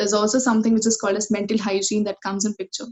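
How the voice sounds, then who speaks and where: A woman talks at a very fast pace. Her fairly high voice is somewhat breathy. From India, Kolhapur, Maharashtra. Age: 20s. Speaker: student mental health advocate. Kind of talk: interview.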